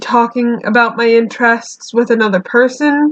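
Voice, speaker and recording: Quietly and at a fairly slow pace, a woman speaks in a high voice with fairly even intonation. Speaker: YouTuber drawing and chatting. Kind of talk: casual monologue while drawing. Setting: alone in bedroom. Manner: halting.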